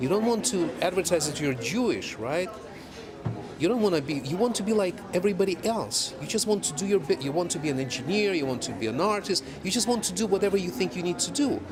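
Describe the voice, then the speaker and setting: Amid noticeable background noise and audible room echo, a man with a Russian accent speaks at a very fast pace in a high pitch with very wide pitch swings. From Soviet Union. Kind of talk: documentary interview.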